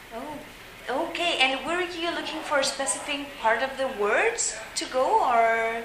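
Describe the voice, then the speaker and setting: A high-pitched woman with lively intonation at a fairly slow pace, along with audible room echo and noticeable background noise. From France. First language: French. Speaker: volunteer interviewer. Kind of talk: interview. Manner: halting.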